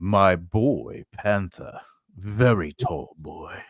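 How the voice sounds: Putting on a menacing, theatrical character voice, a man speaks fairly low at a very slow pace.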